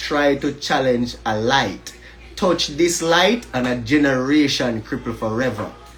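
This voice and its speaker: Music plays in the background. The speaker has a Jamaican accent, moves at a fairly slow pace and uses ordinary pitch variation. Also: man. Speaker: educator and livestreamer. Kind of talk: livestream monologue. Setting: Instagram live stream. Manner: animated.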